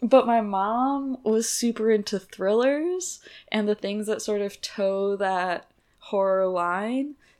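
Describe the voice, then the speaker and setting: Speaking very slowly, a woman with a fairly high pitch shows ordinary pitch variation. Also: very clean recording, silent background. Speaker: podcast host. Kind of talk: casual chat.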